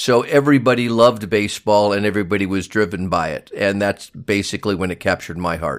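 A man with an American accent at a very fast pace, with hardly any pauses and ordinary pitch variation. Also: fairly low pitch for a man. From US West Coast (Los Angeles area, San Fernando Valley). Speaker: former baseball player, manager and scout. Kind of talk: interview.

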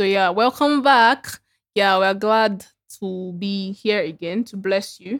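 Here a woman speaks at a medium pitch with ordinary variation. Her pace is fairly slow. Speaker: podcast co-host. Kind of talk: casual chat. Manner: animated.

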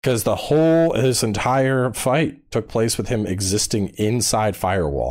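In a very clean recording with a silent background, a man with a normal speaking voice, medium pitch and lively intonation speaks at a fairly slow pace. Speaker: gaming YouTuber. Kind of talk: casual chat.

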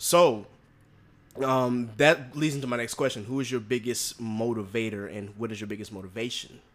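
A man speaks in a plain, everyday voice at a medium pitch. His pace is moderate, and his pitch variation is ordinary. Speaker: podcast host. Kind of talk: casual interview.

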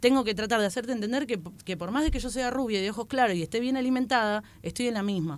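A woman with a plain, everyday voice speaks at a fairly high pitch with lively intonation, recorded very cleanly against a silent background. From Buenos Aires western suburbs, Argentina. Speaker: stand-up comedian. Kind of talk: casual chat.

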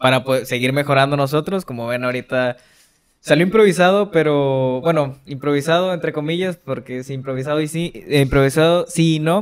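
He talks at a moderate pace, his pitch varying in an ordinary way. This man has a normal speaking voice, fairly high in pitch. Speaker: podcast co-host. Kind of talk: casual chat. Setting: studio.

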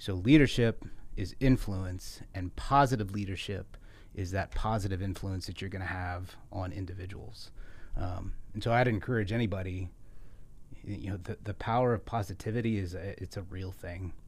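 A man with a fairly low pitch speaks at a moderate pace in a somewhat breathy voice. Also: ordinary pitch variation. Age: 40s. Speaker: military officer. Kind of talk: interview. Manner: hesitant fillers.

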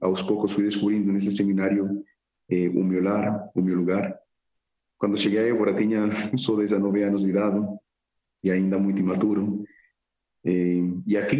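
At a moderate pace, a man with a fairly low pitch speaks in a flat monotone at very even loudness, leaving long, frequent pauses. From Colombia, Medellín. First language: Spanish (speaking Portuguese). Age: 20s. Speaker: seminarian about to be ordained deacon. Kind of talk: radio interview.

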